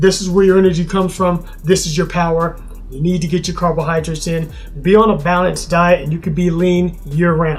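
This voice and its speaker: A man with a high pitch talks at a fairly quick pace in a monotone, flat intonation, over noticeable background noise. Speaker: fitness vlogger. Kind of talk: casual vlog talk to camera. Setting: at home. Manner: fast.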